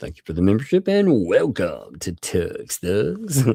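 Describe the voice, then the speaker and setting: A man in a put-on character voice talks at a fairly slow pace and medium pitch. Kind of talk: stream announcement. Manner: announcer voice.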